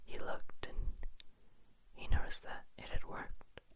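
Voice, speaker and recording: Someone whispers. The words come at a moderate speed. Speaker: ASMR creator. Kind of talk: whispered ASMR bedtime story narration. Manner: whispered, soft, relaxing.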